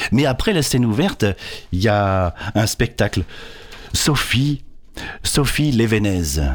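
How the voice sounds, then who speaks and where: At a very slow pace with long, frequent pauses, a man of medium pitch speaks with lively intonation and very even loudness. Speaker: storyteller. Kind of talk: casual radio chat and storytelling. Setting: radio studio.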